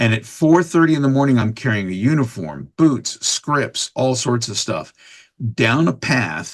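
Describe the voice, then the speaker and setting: This is a normal speaking voice on a very clean recording with a silent background. A man speaks at a fairly slow pace with lively intonation. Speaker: voice actor. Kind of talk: podcast interview answer. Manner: casual, chatty.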